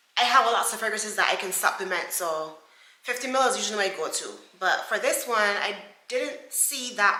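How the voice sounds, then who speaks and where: Audible room echo surrounds a woman whose fairly high pitch shows ordinary variation. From Barbados. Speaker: beauty vlogger. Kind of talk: product review vlog. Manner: casual, chatty.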